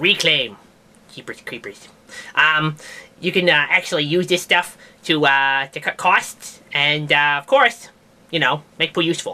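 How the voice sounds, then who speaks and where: A put-on character voice at middle pitch delivers the lines at a moderate pace. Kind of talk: comedic science news talk to camera. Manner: casual, rambling.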